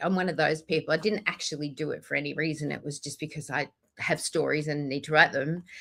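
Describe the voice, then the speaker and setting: A woman talks in an Australian accent. Her tone is bright and sharp. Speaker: author. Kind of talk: podcast interview.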